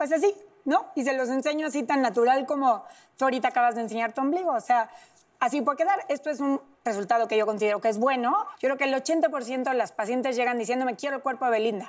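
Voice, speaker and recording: A woman talks at a very fast pace in a high pitch, with ordinary pitch variation. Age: 30s. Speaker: plastic surgeon. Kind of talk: interview, expert explanation.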